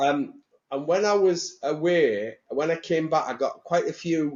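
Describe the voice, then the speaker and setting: Here a man with a Teesside accent talks at a fairly slow pace. His pitch is fairly high, with ordinary variation. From northern England, Teesside. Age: 60s. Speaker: mortgage industry bank executive. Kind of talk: casual interview chat. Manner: animated.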